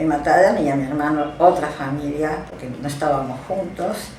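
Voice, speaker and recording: A woman talks at a fairly slow pace. Noticeable background noise and audible room echo surround her. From Belgium. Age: 70s. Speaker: Holocaust survivor. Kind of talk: testimony.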